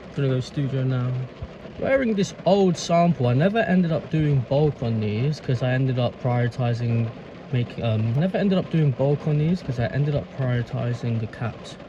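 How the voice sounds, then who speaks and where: Speaking in a London accent at a moderate pace, a man with a medium pitch uses lively intonation over noticeable background noise. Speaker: vlogger and clothing brand owner. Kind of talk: casual vlog monologue. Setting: in a car. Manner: slurred.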